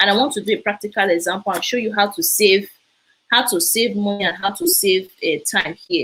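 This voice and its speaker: A woman with a Nigerian accent speaks at a medium pitch and a fairly quick pace. Her tone is animated, bright and sharp, with lively intonation. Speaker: immigration info presenter. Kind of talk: live stream talk. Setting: live broadcast.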